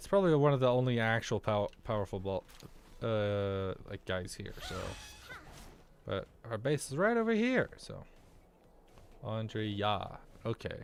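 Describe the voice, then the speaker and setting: Over music in the background, a man with an American accent talks at a fairly slow pace and medium pitch, with ordinary pitch variation and long, frequent pauses. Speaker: vtuber gaming streamer. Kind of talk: casual gameplay livestream chat. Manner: animated.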